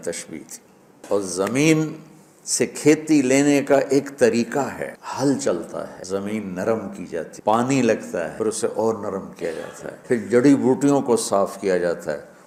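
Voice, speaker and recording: A man speaks in a dark, mellow tone with vocal fry, his loudness swinging widely. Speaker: Islamic preacher giving a sermon. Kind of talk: emotional religious sermon (bayan).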